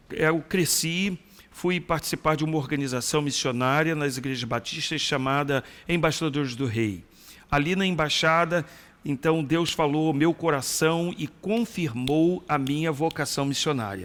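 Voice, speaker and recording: Ordinary pitch variation accompanies speech delivered at a fairly slow pace. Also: man, fairly high pitch for a man. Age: 60s. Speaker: retired pastor and missionary. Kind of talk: interview testimony.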